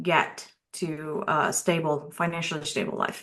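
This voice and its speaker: A woman with a non-native accent speaks at a fairly slow pace in a fairly low pitch, her tone bright and sharp and her intonation monotone and flat. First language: not English. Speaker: cybersecurity expert and IT manager. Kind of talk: interview.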